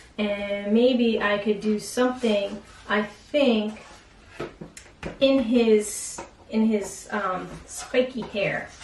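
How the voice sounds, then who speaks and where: Noticeable background noise and audible room echo surround the speaker. She is a woman with a medium pitch. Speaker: art teacher. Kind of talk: tutorial. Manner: animated.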